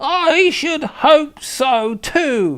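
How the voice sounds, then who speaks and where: A man puts on a character voice. It is shrill and extremely high in pitch. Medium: read story. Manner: nagging, spiteful.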